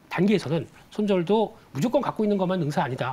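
A man's high-pitched voice, very fast, with lively intonation. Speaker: investment research firm head. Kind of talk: financial news interview. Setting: studio. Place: studio. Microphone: lapel.

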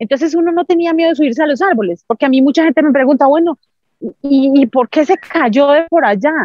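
Her high-pitched voice moves at a fairly quick pace with lively intonation and very even loudness, a woman recorded with dry sound, no echo, and a quiet background. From Colombia, Santander. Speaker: Paralympic athlete; interview guest. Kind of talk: interview testimony. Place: open country. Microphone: video call.

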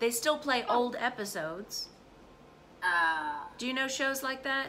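A fairly high-pitched woman at a fairly slow pace, with light background noise. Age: 40s. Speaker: English teacher. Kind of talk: casual lesson. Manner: animated. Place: home room. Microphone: phone near.

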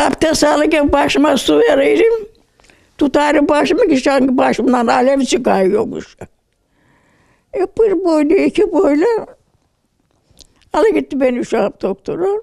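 Against a quiet background, a woman with a high pitch talks fairly slowly with long, frequent pauses, very wide pitch swings and very even loudness. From Trabzon, Turkey. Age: 80s+. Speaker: interviewee, recovered patient. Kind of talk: interview answer. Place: home room. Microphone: handheld.

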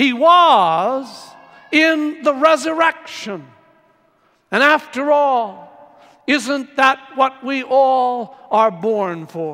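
A man's extremely high, raised, projected voice with lively intonation at a very slow pace, against a quiet background. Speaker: priest giving homily. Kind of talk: homily. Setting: church. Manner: warm, earnest preaching. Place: church.

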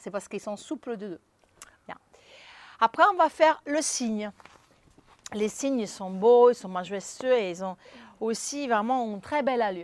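Recorded dry with no echo, a woman speaks at a moderate pace in a high pitch with lively intonation. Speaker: pilates instructor. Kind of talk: exercise instruction. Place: garden.

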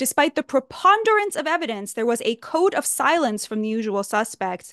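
A woman with a high pitch speaks at a fairly quick pace, her pitch swinging very widely. The sound is dry with no echo, and the background is quiet. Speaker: writer giving commentary. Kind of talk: political commentary. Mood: earnest, indignant. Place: home room. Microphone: studio mic.

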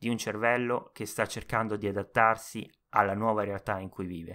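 A man speaks at a moderate pace with a fairly low pitch and a bright, sharp tone. The recording is very clean, with a silent background. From Rome, Italy. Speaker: podcaster and self-publishing author. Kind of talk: solo podcast monologue, introduction. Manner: nervous, halting, with fillers.

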